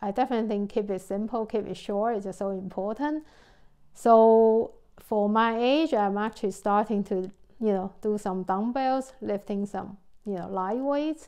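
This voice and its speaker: Against a quiet background, a woman speaks at a moderate pace. Her voice is fairly high, dark and mellow, with ordinary pitch variation. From Taiwan. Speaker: mindset coach. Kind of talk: casual talk to camera.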